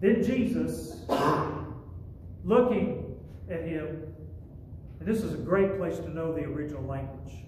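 A man speaks with long, frequent pauses. Light background noise and audible room echo are present. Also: moderate pace. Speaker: pastor. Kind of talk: sermon. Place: church. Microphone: camera far.

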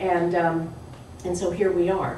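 A woman's speech in audible room echo, plus light background noise. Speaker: panel moderator. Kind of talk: panel discussion. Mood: warm, reflective. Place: hall. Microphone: camera far.

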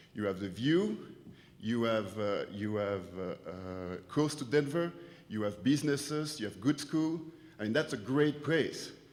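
A man speaks at a medium pitch with very wide pitch swings and audible room echo. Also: fairly slow pace. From France. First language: French. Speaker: business owner speaking at public comment. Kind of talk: public comment at town hall. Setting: auditorium meeting.

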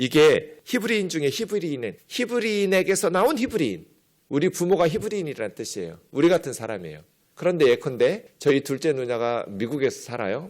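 With vocal fry and very wide pitch swings, a man talks at a fairly quick pace on a very clean recording with a silent background. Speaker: pastor. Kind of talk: sermon.

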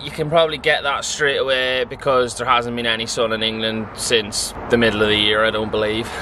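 Over noticeable background noise, a man speaks at a moderate pace with fairly even intonation in a dry sound with no echo. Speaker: vlogger. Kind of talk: casual vlog chat. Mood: chatty, wry. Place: station. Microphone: phone near.

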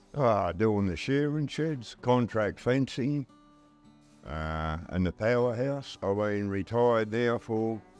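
A man talks at a very slow pace. Faint music plays behind his dry sound with no echo. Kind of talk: interview answer. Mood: jovial storytelling, laughing. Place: bar. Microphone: lapel.

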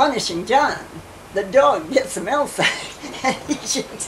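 A woman with an American accent, very slow and with very wide pitch swings, over light background noise. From US Midwest. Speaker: grandmother telling family history. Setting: home interview, family video recording. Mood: calm, reminiscing, sometimes amused. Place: home room. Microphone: old recording.

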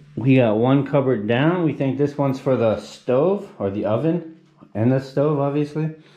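Ordinary pitch variation at a moderate pace, with audible room echo. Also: man, fairly high pitch for a man. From Canada, Hamilton, Ontario; Ontario, Canada. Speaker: travel vlogger. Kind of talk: casual vlog narration. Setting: indoors, apartment under renovation. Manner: animated. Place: home room. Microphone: phone near.

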